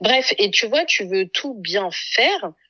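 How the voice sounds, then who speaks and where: A woman's voice with very wide pitch swings. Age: 30s. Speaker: mother and content creator. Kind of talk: casual chat.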